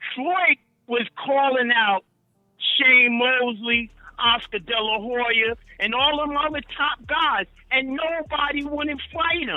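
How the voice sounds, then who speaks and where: Over music in the background, a man with an extremely high voice talks at a very slow pace with ordinary pitch variation. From Newark, New Jersey. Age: 50s. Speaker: caller. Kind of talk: casual chat. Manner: animated.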